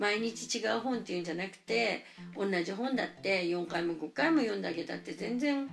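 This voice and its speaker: A woman with an unremarkable speaking voice talks fairly quickly, her intonation lively. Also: medium pitch for a woman. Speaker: preschool teacher. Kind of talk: interview.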